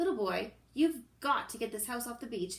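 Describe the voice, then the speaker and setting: A woman speaks in a put-on character voice, pitched high, at a moderate pace. Her intonation is lively and her loudness swings widely. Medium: read story.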